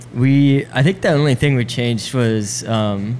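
Fairly even in intonation and moderate in pace, a man's medium-pitched voice comes through amid noticeable background noise. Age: 20s. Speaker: keyboard player. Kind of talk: casual chat.

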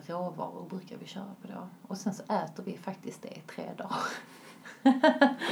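Noticeable background noise surrounds a woman speaking at a fairly slow pace. Her intonation is lively, with big swings in loudness. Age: 30s. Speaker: vegan lifestyle influencer. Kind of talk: casual interview.

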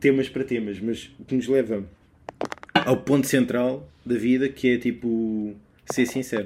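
Fairly slow and fairly even in intonation, a man speaks at a medium pitch with a European Portuguese accent. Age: 20s. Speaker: podcaster. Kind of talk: solo casual monologue. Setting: home bedroom. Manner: halting.

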